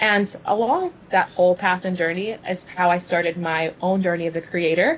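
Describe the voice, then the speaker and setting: A woman speaking with hardly any pauses, over noticeable background noise. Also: medium pitch for a woman, fairly even intonation, moderate pace. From US South (Louisville, Kentucky), born in Cuba. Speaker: venture capitalist and finance creator. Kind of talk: interview on live stream. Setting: Instagram live video.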